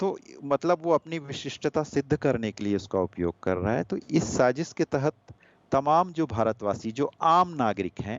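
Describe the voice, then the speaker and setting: A man with a Gujarati accent, fairly high-pitched, with very wide pitch swings. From India, Anuppur, Madhya Pradesh. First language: Gujarati (speaking Hindi). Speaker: poet. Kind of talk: interview.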